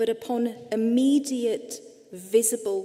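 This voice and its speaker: A woman is speaking. She has an English accent. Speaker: psychotherapist and speaker. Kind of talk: lecture.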